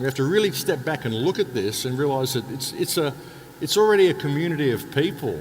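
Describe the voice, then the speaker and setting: A man speaks at a medium pitch and a very fast pace, with lively intonation. Noticeable background noise runs under his voice. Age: 60s. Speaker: alternative speaker, author and radio host. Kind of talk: interview monologue. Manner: repetitive, halting restarts.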